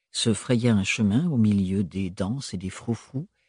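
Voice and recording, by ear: The speaker reads aloud in a natural voice, and the pitch varies in an ordinary way.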